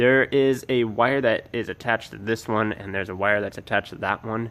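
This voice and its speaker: At a fairly quick pace, a man speaks with a medium pitch and fairly even intonation. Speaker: car modding vlogger. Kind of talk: install tutorial vlog. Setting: outdoors by car at apartment complex. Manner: casual, rambling filler words; softer voice in night footage.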